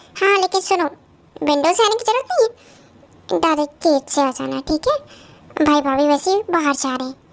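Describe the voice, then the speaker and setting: Putting on a character voice, a woman talks at a fairly quick pace in a high pitch. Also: lively intonation. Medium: read story.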